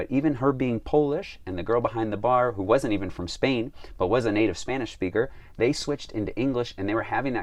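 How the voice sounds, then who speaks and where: A man with a Chicago accent talks at a very fast pace. His medium pitch shows ordinary variation. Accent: American, Chicago. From US, Chicago. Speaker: travel guide vlogger. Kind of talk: vlog talk to camera. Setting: filming while traveling in Slovakia.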